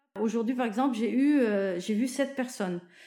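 Her voice fairly high in pitch, a woman speaks with a dark, mellow tone. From Lebanon (Zahle). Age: 50s. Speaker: oncology nurse. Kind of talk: testimony. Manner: hesitant, many fillers.

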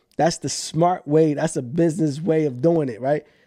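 A man with an American accent, high-pitched, at a moderate pace, in a dry, close sound with no echo. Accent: urban street speech, own way of talking. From US urban neighborhood. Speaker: real estate investor. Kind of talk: casual chat. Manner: animated.

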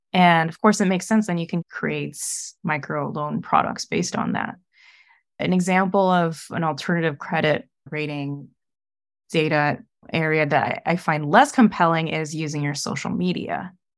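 A woman speaks at a moderate pace in a plain, everyday voice, fairly low in pitch with ordinary pitch variation. The recording is very clean, with a silent background. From US Midwest. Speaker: angel investor. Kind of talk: podcast interview. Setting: call.

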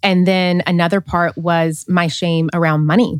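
With an unremarkable speaking voice, a woman talks in a fairly low pitch and fairly even intonation. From US South, small-town Tennessee. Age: 30s. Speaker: coach and author. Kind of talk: casual interview conversation.

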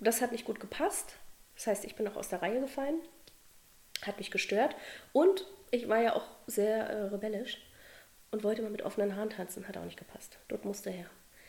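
Animated in tone with a fairly high pitch, a woman talks at a fairly quick pace with ordinary pitch variation, big swings in loudness and long, frequent pauses. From Berlin, Germany. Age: 40s. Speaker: dance teacher. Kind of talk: podcast interview.

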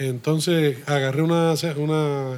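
The voice belongs to a man. It pitches fairly high. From Puerto Rico, Río Piedras. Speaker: brewery co-founder. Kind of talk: interview conversation. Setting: beer shop.

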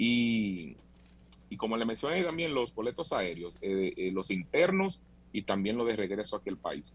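Here a man speaks with a medium pitch at a fairly slow pace. His pitch swings very widely. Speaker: tour operator. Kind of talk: interview.

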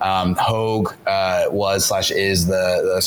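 With noticeable background noise and audible room echo, a man is recorded. He speaks with an American accent. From US South and Orange County, California. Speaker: entrepreneur. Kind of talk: interview.

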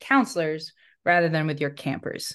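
A woman with an unremarkable speaking voice, fairly low in pitch and with ordinary pitch variation, talks over a quiet background. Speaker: recreation specialist, former camp director. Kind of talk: casual interview. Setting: remote recording.

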